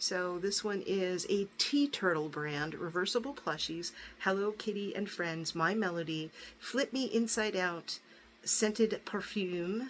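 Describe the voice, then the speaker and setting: This woman has a plain, everyday voice at a medium pitch. She speaks at a fairly slow pace with ordinary pitch variation. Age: 60s. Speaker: YouTuber showing gifts. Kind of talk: casual haul video. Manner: chatty, with many fillers. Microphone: crackling noise.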